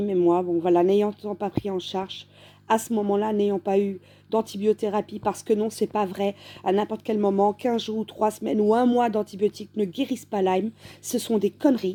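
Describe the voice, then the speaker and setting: At a fairly quick pace, a woman talks in a medium pitch with a dark, mellow tone. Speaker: patient giving testimony. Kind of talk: testimony. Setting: at home in bed, dim room. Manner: halting, many hesitations.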